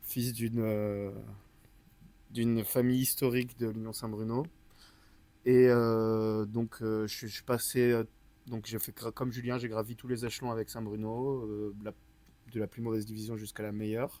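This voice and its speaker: A dark, mellow tone in monotone, flat intonation, with long, frequent pauses. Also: man, medium pitch for a man, moderate pace. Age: 20s. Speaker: water polo player, team captain. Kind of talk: casual interview.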